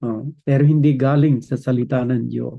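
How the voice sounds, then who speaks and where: A man at a fairly slow pace, in a monotone, flat intonation. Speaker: preacher. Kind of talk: sermon.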